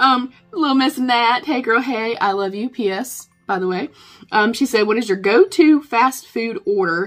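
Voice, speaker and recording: With lively intonation, a woman talks in a Southern US accent. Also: fairly high pitch for a woman, fairly slow pace. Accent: southern accent, country twang. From North Carolina. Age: 40s. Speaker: beauty vlogger. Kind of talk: Q&A vlog, casual chat. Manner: chatty.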